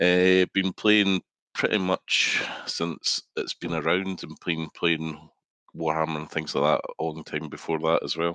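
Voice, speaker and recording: In a Scottish accent, a man with a very deep, low voice and a bright, sharp tone speaks at a fairly slow pace in a monotone, flat delivery, recorded dry and close with no echo. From Scotland. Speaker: guest gamer. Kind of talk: casual chat.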